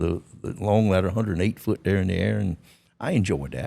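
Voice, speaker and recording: With a Southern US accent, a man speaks at a very fast pace in a very deep, low pitch, his tone dark and mellow with vocal fry and ordinary pitch variation, on a very clean recording with a silent background. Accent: Southern American. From Georgia, USA. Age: 80s+. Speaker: former drug smuggling pilot. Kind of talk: interview answer.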